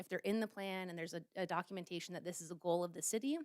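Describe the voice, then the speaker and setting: Medium in pitch with ordinary variation, a woman talks at a fairly quick pace in a dry, close sound with no echo. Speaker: climate planning consultant. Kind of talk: presentation to city council. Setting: city council meeting. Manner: fast.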